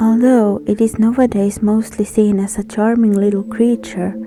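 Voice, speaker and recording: A woman's speech at a moderate pace comes through noticeable background noise. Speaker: narrator. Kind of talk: educational folklore narration. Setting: home recording, poor acoustics.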